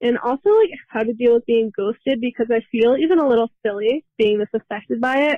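A woman's plain, everyday voice at a fairly high pitch, fairly quick with hardly any pauses and ordinary pitch variation. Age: 20s. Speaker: caller. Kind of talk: recorded voice message.

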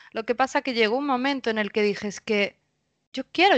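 A woman with a Spanish accent speaks with ordinary pitch variation in a dry, close sound with no echo. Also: quiet background. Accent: Peninsular Spanish. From Spain. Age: 30s. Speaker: spiritual coach. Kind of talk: casual interview. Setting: remote recording.

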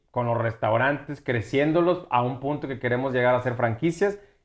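A man speaks at a medium pitch. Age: 30s. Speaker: restaurant owner and entrepreneur. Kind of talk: casual chat.

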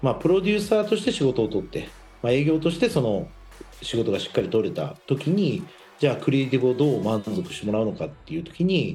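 A man at a fairly high pitch, very fast pace and very wide pitch swings, with music in the background. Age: 40s. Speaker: radio host and company founder. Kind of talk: casual radio talk.

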